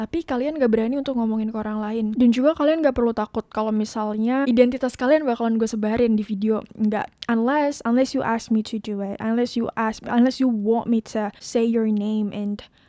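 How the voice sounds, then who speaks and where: Her voice has a dark, mellow tone and a fairly high pitch, and this woman speaks at a fairly quick pace. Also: fairly even intonation, hardly any pauses. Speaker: podcast host. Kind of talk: casual monologue. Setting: home podcast setup with laptop. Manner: soft-spoken; code-switching Indonesian and English.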